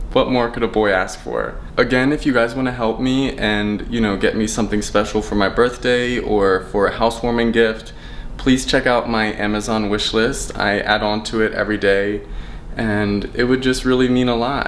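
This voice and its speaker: A man talks at a moderate pace with a medium pitch and fairly even intonation. Noticeable background noise and audible room echo surround him. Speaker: vlogger. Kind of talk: casual vlog. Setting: in his apartment. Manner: loud.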